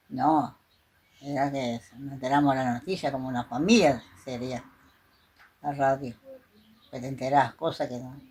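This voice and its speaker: A woman's very deep, low voice at a moderate pace, with fairly even intonation and long, frequent pauses. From Argentina, Chaco. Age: 80s+. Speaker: interviewee. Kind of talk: interview.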